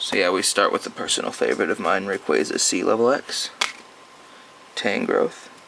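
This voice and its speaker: Man at a moderate pace with very even loudness, long, frequent pauses, and noticeable background noise. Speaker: card collector video creator. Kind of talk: casual collection showcase.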